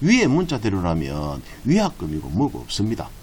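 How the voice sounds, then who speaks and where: The voice belongs to a man. His pitch swings very widely. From Busan, South Korea. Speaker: real estate agent. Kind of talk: tutorial.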